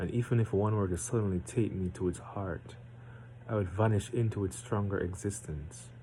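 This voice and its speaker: Somewhat breathy, a man speaks with a fairly low pitch, a dark, mellow tone and ordinary pitch variation. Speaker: amateur poetry reader. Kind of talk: reading aloud; casual chat. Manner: deliberately slowed.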